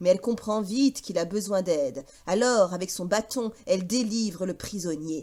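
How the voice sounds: A woman speaks in a dark, mellow tone with ordinary pitch variation. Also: medium pitch for a woman, moderate pace.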